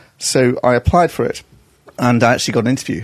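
A man talks at medium pitch with lively intonation. He has a slight northern English accent.

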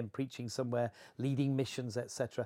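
A man's dark, mellow tone at a fairly quick pace, with a Yorkshire accent. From Yorkshire, England (Horsforth, near Leeds). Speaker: travelling evangelist. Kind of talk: interview.

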